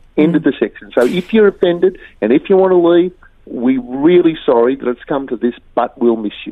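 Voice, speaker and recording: Talking at a fairly quick pace, a man with an Australian accent has a fairly high pitch and lively intonation. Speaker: journalist and former rugby player. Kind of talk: interview commentary. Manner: animated, emphatic.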